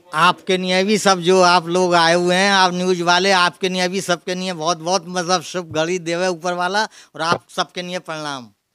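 Over a quiet background, a man with a high, bright, sharp voice speaks fairly slowly in a monotone, flat intonation. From Mathura, Braj region, India; India. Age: 70s. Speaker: deity costume tailor. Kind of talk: interview. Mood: friendly, proud, smiling. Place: home room. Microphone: handheld.

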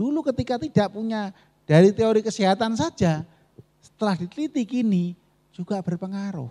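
Over a quiet background, a man speaks at a moderate pace in a high voice with a dark, mellow tone and very wide pitch swings. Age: 40s. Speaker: Buddhist monk giving a Dhamma talk; Buddhist monk teacher. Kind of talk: dharma talk. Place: hall. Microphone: handheld.

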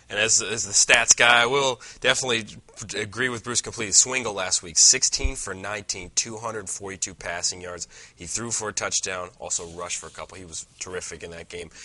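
Bright and sharp in tone, a man's fairly low voice moves at a moderate pace with ordinary pitch variation and big swings in loudness. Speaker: sports co-host and play-by-play caller; sports show co-host. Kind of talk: casual sports talk. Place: studio. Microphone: lapel.

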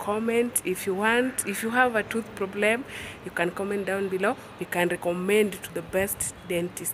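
A woman talks at a fairly slow pace, her pitch varying in an ordinary way, with light background noise behind her. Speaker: vlogger. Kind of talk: casual vlog chat. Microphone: phone near.

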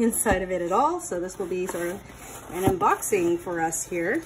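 Speaking at a moderate pace with lively intonation, the voice comes through over noticeable background noise. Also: woman. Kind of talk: casual unboxing walkthrough. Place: home room. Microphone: phone near.

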